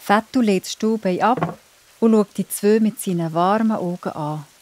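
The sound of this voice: A woman talks at a moderate pace and medium pitch. The sound is dry and close, with no echo. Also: ordinary pitch variation, slightly mellow tone.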